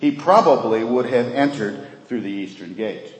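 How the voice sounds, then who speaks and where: The recording has noticeable background noise and audible room echo. In it, a man talks at a medium pitch and a moderate pace. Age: 50s. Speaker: pastor. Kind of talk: sermon.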